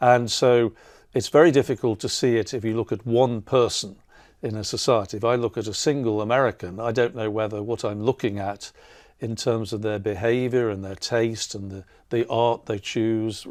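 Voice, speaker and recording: A man talks with an English accent at a medium pitch. His intonation stays fairly even. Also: very clean recording, silent background. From England. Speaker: artist and professor. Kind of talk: interview conversation. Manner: halting, many fillers.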